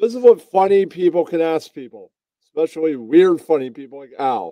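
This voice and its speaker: Speaking in an ordinary speaking voice, a man with a fairly high pitch moves at a fairly quick pace with lively intonation, his sound dry and close with no echo. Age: 40s. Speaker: guest in a music and comedy chat. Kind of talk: casual chat.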